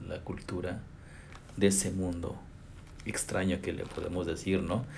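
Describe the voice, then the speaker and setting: A man with a very deep, low, somewhat breathy voice and a Mexican accent talks at a fairly slow pace amid audible room echo. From Chicontepec, Veracruz, Mexico. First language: Nahuatl (speaking Spanish). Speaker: language professor. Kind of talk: interview. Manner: halting, with fillers.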